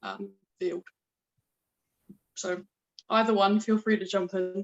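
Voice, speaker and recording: A woman speaks fairly slowly with a New Zealand accent at a medium pitch. Her intonation is monotone and flat. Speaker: audience member. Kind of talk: audience question.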